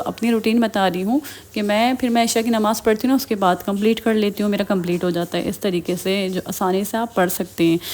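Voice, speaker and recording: A woman's medium pitch with ordinary pitch variation, at a moderate pace. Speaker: religious vlogger. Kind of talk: religious advice vlog. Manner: usually very soft-spoken.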